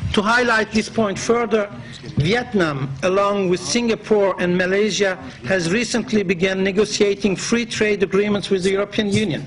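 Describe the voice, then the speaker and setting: Against noticeable background noise, a man with a Turkish accent speaks at a moderate pace in a high pitch, with ordinary pitch variation and very even loudness. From Turkey. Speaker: business association president. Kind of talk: formal speech. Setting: conference in parliament. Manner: formal.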